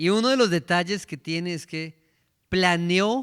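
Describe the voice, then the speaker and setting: Over a silent background in a very clean recording, a man speaks fairly slowly at a high pitch. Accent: Colombian. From Colombia. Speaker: preacher. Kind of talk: sermon.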